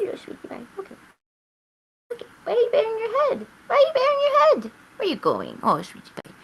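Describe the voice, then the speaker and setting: A put-on character voice at a fairly quick pace, broken by long, frequent pauses. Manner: cooing, affectionate.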